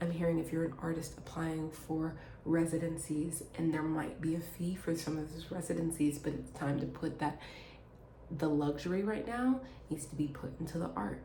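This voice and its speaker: A woman speaks with a very deep, low pitch and ordinary pitch variation. Noticeable background noise and audible room echo come through. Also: moderate pace. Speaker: tarot reader. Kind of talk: channelled reading to viewers. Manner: stammering restarts.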